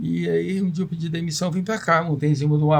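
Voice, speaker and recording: This man's somewhat breathy voice shows ordinary pitch variation as he moves at a moderate pace. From Brazil, Volta Redonda (Rio de Janeiro state). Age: 60s. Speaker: businessman. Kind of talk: podcast interview.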